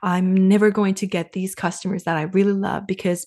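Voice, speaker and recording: A somewhat breathy woman speaks at a medium pitch. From Finland. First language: Finnish. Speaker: sales coach and business advisor. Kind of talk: casual interview.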